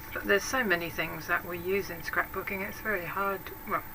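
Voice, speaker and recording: Medium-pitched female speech with a British accent, at a moderate pace, over noticeable background noise. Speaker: craft YouTuber. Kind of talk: casual vlog talk answering tag questions. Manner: hesitant, with many fillers.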